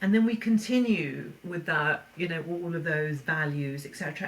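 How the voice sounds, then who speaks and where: Speaking at a fairly quick pace, a woman has a fairly low pitch and ordinary pitch variation. Background noise is noticeable. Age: 60s. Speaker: counsellor. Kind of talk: casual chat.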